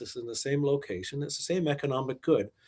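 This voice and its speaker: A man with a Canadian accent and a normal speaking voice, fairly high in pitch, ordinary pitch variation, on a very clean recording with a silent background. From Quebec, Montreal. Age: 60s. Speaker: investment manager and author. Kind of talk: podcast interview.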